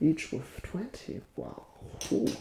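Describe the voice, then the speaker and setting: The speaker is soft-spoken, talking in a whisper. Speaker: ASMR creator role-playing a casino dealer. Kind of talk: ASMR role-play. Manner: soft-spoken, whispered.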